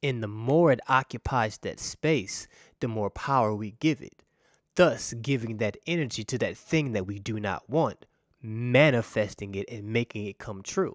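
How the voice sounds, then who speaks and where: The pace is fairly slow, with ordinary pitch variation and big swings in loudness. The sound is dry with no echo, over a quiet background. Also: man, medium pitch for a man. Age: 30s. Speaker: pastor. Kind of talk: sermon. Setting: church. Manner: animated. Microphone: studio mic.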